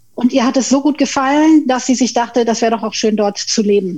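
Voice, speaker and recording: Her dark, mellow tone set at a high pitch, a woman talks at a moderate pace with ordinary pitch variation. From Tenerife, Spain (German-speaking upbringing). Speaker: management consultant and pay equity advocate. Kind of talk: podcast interview.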